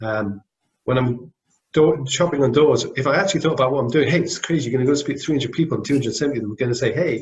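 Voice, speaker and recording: A man with a Scottish accent talks at a very fast pace, his fairly high pitch moving with ordinary variation. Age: 40s. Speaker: business owner. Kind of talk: interview. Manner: mumbling.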